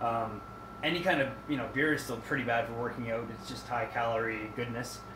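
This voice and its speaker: A man at medium pitch is heard with audible room echo and noticeable background noise. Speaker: fitness vlogger. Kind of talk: casual vlog monologue. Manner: halting, many fillers.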